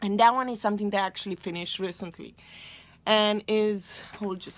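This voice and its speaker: A woman with a Romanian accent speaks at a fairly quick pace. Her pitch is medium and her intonation fairly even. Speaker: booktuber. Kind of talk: casual vlog talk.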